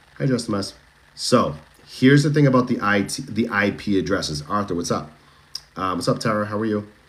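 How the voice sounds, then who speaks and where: Fairly low-pitched man with a Boston accent, lively intonation and a fairly quick pace. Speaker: true crime livestreamer. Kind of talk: casual livestream commentary. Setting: TikTok livestream. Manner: animated, chatty.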